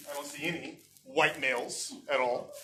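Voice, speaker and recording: Audible room echo surrounds a man with an American accent and a bright, sharp tone. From United States. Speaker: educator and guest speaker. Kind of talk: speech to a club meeting. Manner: casual, with many fillers and restarts.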